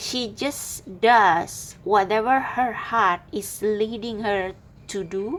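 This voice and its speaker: A woman with a non-native accent speaks at a very slow pace. Her pitch is fairly high, with ordinary variation. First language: not English. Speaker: tarot reader. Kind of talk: tarot reading monologue. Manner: halting.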